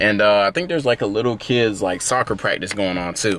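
The speaker has a plain, everyday voice and a fairly quick pace. The sound is dry, with no echo. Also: man. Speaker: fitness vlogger. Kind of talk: casual vlog chat. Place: car. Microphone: phone near.

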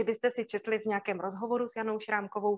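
A woman's fairly high-pitched voice. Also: quiet background. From Moravia, Czech Republic (Zábřeh); Moravia, Czech Republic. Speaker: university lecturer in drama education. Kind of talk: webinar lecture. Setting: online webinar broadcast. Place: home room. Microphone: webcam.

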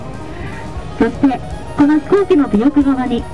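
A high-pitched woman's voice with clear music in the background. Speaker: tour guide. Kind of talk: tour guide commentary. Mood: cheerful, polite. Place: bus.

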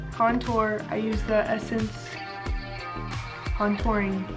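Clear music plays behind a woman with an American accent who speaks at a very slow pace with long, frequent pauses. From Mississippi, USA. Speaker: beauty vlogger. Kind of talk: casual talk to camera. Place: home room.

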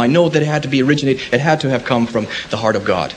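A man with an American accent talks at a very fast pace over light background noise. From United States. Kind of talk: public debate. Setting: lecture hall with audience. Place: hall.

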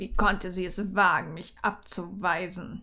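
Using a put-on character voice, a woman growls at medium pitch and a moderate pace. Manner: growling, resentful.

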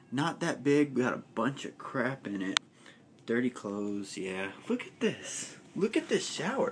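There is noticeable background noise behind this man. He talks at a fairly slow pace with very wide pitch swings. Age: 20s. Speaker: vlogger. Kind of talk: casual vlog monologue. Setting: cruise ship cabin. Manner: animated. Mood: boastful, playful.

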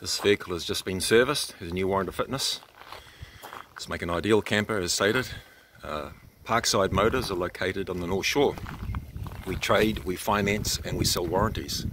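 A man talks at a fairly quick pace in an unremarkable speaking voice with ordinary pitch variation. The sound is dry with no echo over light background noise. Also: fairly low pitch for a man. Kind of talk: sales walkaround commentary. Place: street. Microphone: phone near.

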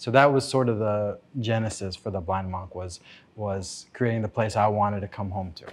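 A man's fairly low-pitched voice with fairly even intonation. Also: moderate pace. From Florida, West Palm Beach. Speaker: chef and restaurant owner. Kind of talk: casual interview. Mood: calm, warm. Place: bar.

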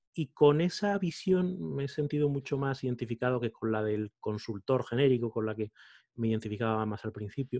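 In a dark, mellow tone, a man speaks with lively intonation. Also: moderate pace, quiet background. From Spain, Salamanca. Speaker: podcaster and coach. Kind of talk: interview conversation. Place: home room. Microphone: studio mic.

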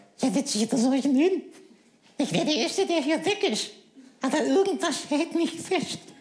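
In a put-on character voice pitched extremely high, a man speaks at a moderate pace with long, frequent pauses. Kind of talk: comic ventriloquist act. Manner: cheeky, insulting, quick-witted.

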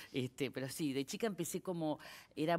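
A woman in a Rioplatense accent. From Argentina. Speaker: actress. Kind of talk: casual chat. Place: studio. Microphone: headset.

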